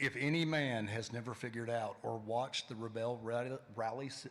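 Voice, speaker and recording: With a Tennessee accent, a man speaks with ordinary pitch variation. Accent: Tennessee Southern. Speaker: panel moderator. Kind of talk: panel discussion.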